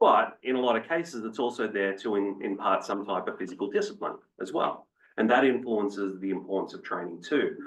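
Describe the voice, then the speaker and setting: A man with an Australian accent talks at a fairly quick pace in a medium pitch with ordinary variation. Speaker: fitness researcher. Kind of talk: panel presentation.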